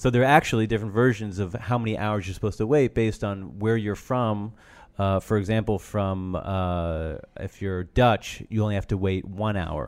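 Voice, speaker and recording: A man with a fairly low pitch and ordinary pitch variation has an ordinary speaking voice, on a very clean recording with a silent background. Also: moderate pace. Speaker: rabbi. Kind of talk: casual interview chat.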